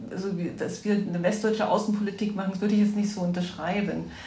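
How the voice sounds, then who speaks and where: A woman's flat, monotone voice amid noticeable background noise and audible room echo. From East Germany, Erzgebirge (Saxony). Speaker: politician's partner. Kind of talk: interview conversation. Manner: hesitant, many fillers.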